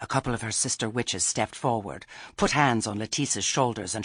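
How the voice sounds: A natural reading voice is heard. Its intonation remains fairly even.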